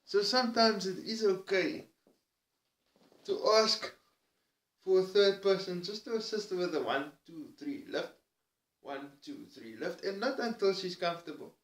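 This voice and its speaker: A man with a Cape Town accent speaks at a moderate pace, his pitch high and his intonation lively. He takes long, frequent pauses, and his loudness swings widely. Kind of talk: personal vlog monologue.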